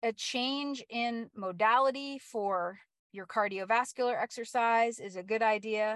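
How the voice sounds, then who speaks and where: This woman has a normal speaking voice. Her pitch is fairly high and her intonation fairly even. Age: 50s. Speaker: fitness coach. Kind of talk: casual talk to listeners. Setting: live stream.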